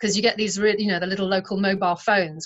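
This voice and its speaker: A woman's medium-pitched voice in a British accent, with fairly even intonation. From England. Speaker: artist. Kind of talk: interview.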